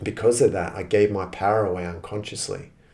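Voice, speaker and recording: A dark, mellow voice, somewhat breathy, moves along at a moderate pace. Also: man. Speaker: spiritual podcast host. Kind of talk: personal reflective monologue. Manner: halting, repeats words.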